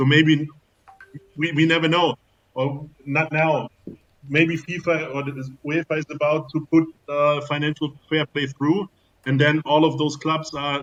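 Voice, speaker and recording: With a German accent, a man speaks at a fairly high pitch in a monotone, flat delivery broken by long, frequent pauses. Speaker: football business expert. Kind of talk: casual panel discussion. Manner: halting.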